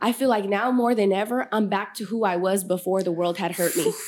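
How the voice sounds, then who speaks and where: This woman has an ordinary speaking voice, pitched fairly high. Her intonation is lively. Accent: American. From Sacramento area, California. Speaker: podcast host and mentor. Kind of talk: casual interview chat.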